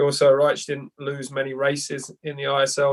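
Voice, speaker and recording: A man in a London accent speaks at a fairly quick pace. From England, East London. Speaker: head swim coach. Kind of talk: podcast interview. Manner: halting, many repeats.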